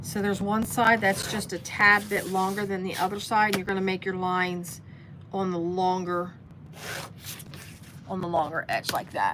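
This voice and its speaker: A woman with an American accent speaks at a medium pitch, leaving long, frequent pauses. Noticeable noise sits in the background. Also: fairly even intonation, moderate pace. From US Midwest, Cincinnati area. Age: 60s. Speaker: sewing livestreamer. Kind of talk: live sewing tutorial. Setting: basement, livestream. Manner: casual, halting with fillers.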